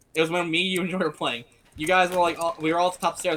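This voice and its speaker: This is a man speaking. His pitch is high. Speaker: podcast co-host. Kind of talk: casual chat. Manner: rambling, filler-heavy delivery.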